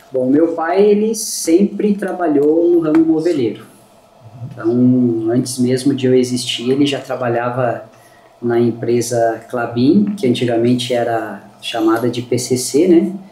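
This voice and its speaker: A man's medium-pitched voice at a fairly slow pace, with noticeable background noise and audible room echo. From southern Brazil, Lages, Santa Catarina. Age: 40s. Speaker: furniture business owner. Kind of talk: podcast interview.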